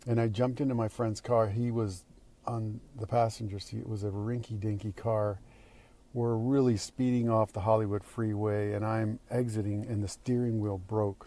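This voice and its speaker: A man speaks at a moderate pace and a fairly low pitch, in a monotone, flat intonation. The recording is very clean, with a silent background. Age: 60s. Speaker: actor. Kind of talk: recorded personal video message answering questions. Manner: halting.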